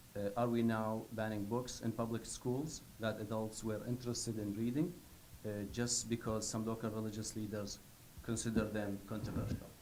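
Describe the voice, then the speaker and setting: At a moderate pace and a medium pitch, a man speaks with monotone, flat intonation amid audible room echo. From Iraq. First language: not English. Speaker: public commenter at school board meeting. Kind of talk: public comment. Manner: halting.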